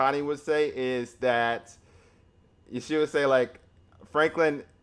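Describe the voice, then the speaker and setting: In an American accent, a man with a medium pitch speaks at a fairly slow pace with fairly even intonation. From US, Florida. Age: 30s. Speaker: language learning youtuber. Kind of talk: live stream Q&A. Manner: halting, many restarts.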